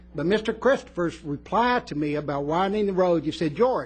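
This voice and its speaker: A man's high voice in an American accent, animated in tone, with lively intonation and a fairly quick pace. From West Texas. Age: 60s. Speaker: resident speaking at public comment. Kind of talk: public comment at county meeting. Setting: county commission meeting room. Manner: emphatic, animated.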